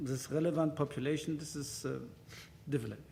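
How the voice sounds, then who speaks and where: In a room with audible echo, a man speaks in a fairly high, somewhat breathy voice with ordinary pitch variation. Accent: German. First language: German. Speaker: conference speaker on hospital IT. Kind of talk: conference presentation. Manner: halting, many fillers.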